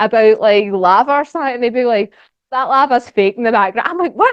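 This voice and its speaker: A woman is speaking. She has a Scottish accent. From Scotland. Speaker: geologist and social media educator. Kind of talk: lecture. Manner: fast; casual, animated.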